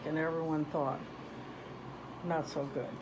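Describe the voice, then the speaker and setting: A fairly low-pitched woman's voice is heard with audible echo from the room. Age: 70s. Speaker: grandmother interviewed by grandchild. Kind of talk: casual interview.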